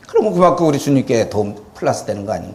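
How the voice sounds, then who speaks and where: Through noticeable background noise and audible room echo, a man talks at a very fast pace with lively intonation. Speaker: pastor. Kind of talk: lecture.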